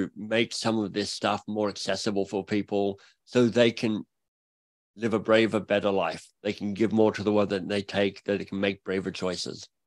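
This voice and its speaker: Fairly low-pitched man with an Australian accent, moderate pace and monotone, flat intonation, dry, close sound with no echo on a very clean recording with a silent background. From Australia (Canberra). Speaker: author and coach. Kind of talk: interview conversation.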